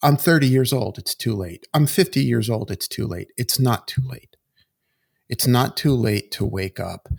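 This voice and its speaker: A man's medium-pitched, somewhat breathy voice with lively intonation at a moderate pace, in a dry, close sound with no echo on a very clean recording with a silent background. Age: 60s. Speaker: executive coach. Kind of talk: podcast interview.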